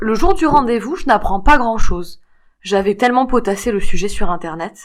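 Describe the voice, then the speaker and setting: In a very clean recording with a silent background, a woman with a fairly high voice speaks at a moderate pace with very wide pitch swings. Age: 60s. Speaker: fibromyalgia patient giving testimony. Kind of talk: testimony.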